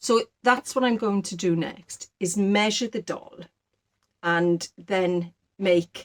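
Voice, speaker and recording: In a South Welsh accent, a woman speaks very slowly at a medium pitch with ordinary pitch variation, the sound dry and close with no echo. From Wales, Rhondda valley. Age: 60s. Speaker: sewing and knitting vlogger. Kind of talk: casual chat.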